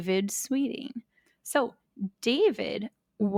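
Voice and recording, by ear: Someone is reading aloud in a natural voice with ordinary pitch variation, and the background is quiet.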